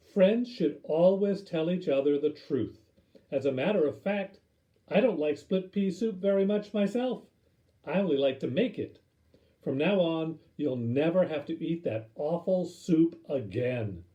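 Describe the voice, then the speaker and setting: This put-on character voice moves at a moderate pace with lively intonation. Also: man, high pitch for a man. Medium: read story.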